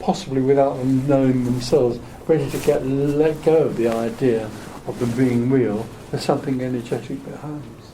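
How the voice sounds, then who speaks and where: A man with an English accent and a fairly high pitch at a moderate pace, amid noticeable background noise and audible room echo. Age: 80s. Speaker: spiritual teacher. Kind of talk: spiritual group Q&A talk. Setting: hotel meeting room with small audience. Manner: soft-spoken.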